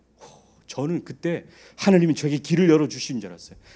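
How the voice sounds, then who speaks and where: A man's fairly quick speech comes through on a very clean recording with a silent background. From Daegu, South Korea. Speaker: pastor. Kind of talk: sermon.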